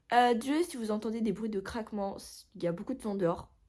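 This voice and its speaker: A somewhat breathy woman is heard on a very clean recording with a silent background. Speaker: booktuber. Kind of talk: casual vlog chat. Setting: at home. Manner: hesitant, many fillers.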